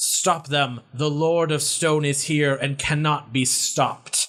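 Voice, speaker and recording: A man shouts in a put-on character voice, his pitch fairly high. He keeps a fairly slow pace and fairly even intonation. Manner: yelling.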